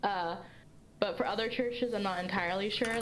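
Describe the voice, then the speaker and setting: A woman is speaking amid noticeable background noise. Audible room echo is also present. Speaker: history student presenting research. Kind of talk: Q&A after a presentation. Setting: livestream.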